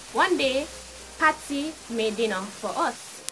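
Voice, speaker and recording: Music plays in the background as a speaker with a Jamaican accent makes very wide pitch swings. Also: woman. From Jamaica (Clarendon). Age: young. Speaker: YouTuber. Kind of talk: storytime vlog. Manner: animated.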